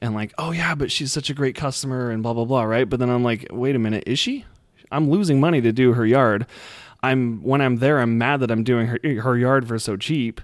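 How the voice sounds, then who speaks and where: A man with an American accent and a plain, everyday voice talks at a fairly quick pace, with medium pitch and fairly even intonation, on a very clean recording with a silent background. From Utah. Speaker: lawn care business owner. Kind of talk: casual interview chat.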